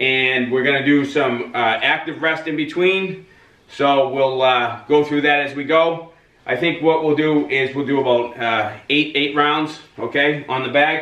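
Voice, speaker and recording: Audible room echo around a man speaking at a fairly slow pace. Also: fairly even intonation. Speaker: boxing trainer. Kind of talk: tutorial. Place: gym. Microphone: camera far.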